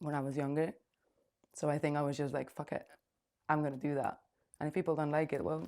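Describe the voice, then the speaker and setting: A woman with a Spanish accent, very deep and low in pitch with a dark, mellow tone, fairly even intonation, a very fast pace and long, frequent pauses. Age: 20s. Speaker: singer-songwriter. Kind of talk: interview. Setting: studio.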